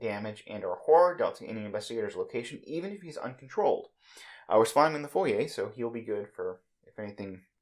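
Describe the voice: The background stays quiet behind plain reading aloud.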